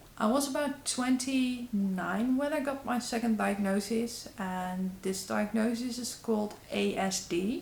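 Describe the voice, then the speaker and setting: Woman with a Dutch accent, fairly high-pitched and fairly slow, with hardly any pauses and noticeable background noise. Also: ordinary pitch variation. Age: 30s. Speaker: YouTuber. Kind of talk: vlog. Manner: halting.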